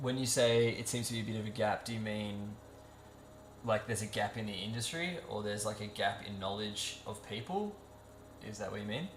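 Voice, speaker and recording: Fairly quick speech in an Australian accent, with audible room echo and noticeable background noise. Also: man, fairly low pitch for a man, fairly even intonation. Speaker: 3D character artist and streamer. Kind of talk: live stream Q&A. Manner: casual, filler-heavy.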